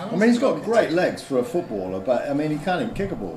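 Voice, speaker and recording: There is noticeable background noise and audible room echo. A man with a high pitch speaks at a fairly quick pace. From Liverpool, England. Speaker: football fan streamer. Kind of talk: casual live watch-along chat. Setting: live stream. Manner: animated.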